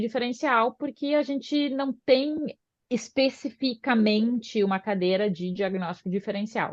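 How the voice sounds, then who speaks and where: A woman's fairly high voice, a normal speaking voice with ordinary pitch variation. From southern Brazil, Porto Alegre. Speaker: osteopath. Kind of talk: podcast interview.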